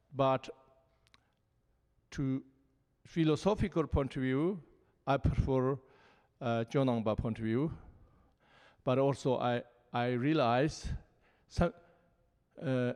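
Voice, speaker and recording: With long, frequent pauses, a man speaks very slowly in a Tibetan accent at medium pitch with ordinary pitch variation against a quiet background. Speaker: Buddhist teacher. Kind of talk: panel dialogue. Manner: halting.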